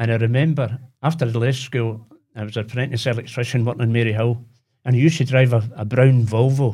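A man with a Glaswegian accent at a very fast pace, medium pitch, a dark, mellow, somewhat breathy tone and fairly even intonation. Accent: Glaswegian Scottish. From Glasgow, Possil Park. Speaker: retired electrician. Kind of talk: casual chat.

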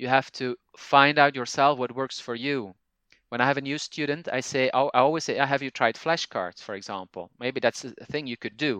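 With a Flemish accent and a bright, sharp tone, a man speaks with fairly even intonation over a quiet background. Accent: Flemish Dutch-accented English. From Belgium (Flanders). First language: Dutch (Flemish). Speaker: language teacher and podcaster. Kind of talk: interview conversation. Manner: halting, frequent fillers.

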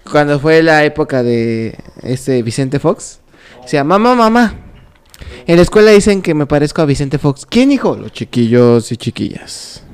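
A man's fairly high, animated voice at a fairly slow pace, with very wide pitch swings. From Mexico, Querétaro. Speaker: podcast co-host. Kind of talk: casual chat, telling jokes.

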